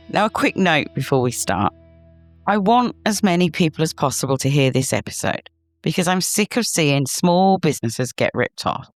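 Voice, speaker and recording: A woman with a British accent at a fairly low pitch, very wide pitch swings and very even loudness, at a moderate pace, dry and close with no echo, with music in the background. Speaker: podcast host, SEO consultant. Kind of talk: podcast monologue. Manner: animated.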